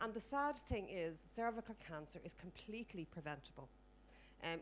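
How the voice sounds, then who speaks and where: A woman with an Irish accent speaks at a fairly quick pace, showing vocal fry. Her pitch varies in an ordinary way. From Ireland. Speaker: audience member at a health conference. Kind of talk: audience question at a conference. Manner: fast.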